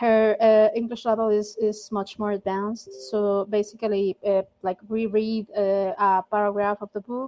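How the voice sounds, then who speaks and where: A woman with a strong non-native accent speaks at medium pitch and a moderate pace, with hardly any pauses. Her intonation is fairly even. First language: not English. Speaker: volunteer language mentor. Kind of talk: casual group meeting chat. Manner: halting, many fillers.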